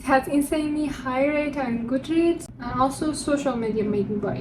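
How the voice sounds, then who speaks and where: Over noticeable background noise and audible room echo, a woman talks at a moderate pace in a high voice with ordinary pitch variation. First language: not English. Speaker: book vlogger. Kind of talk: casual chat.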